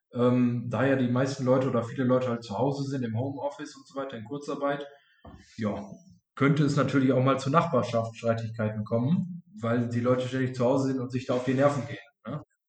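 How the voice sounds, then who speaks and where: A normal speaking voice from a man, medium in pitch, fairly quick, with fairly even intonation and big swings in loudness. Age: 20s. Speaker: insurance and finance advisor. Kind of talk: interview.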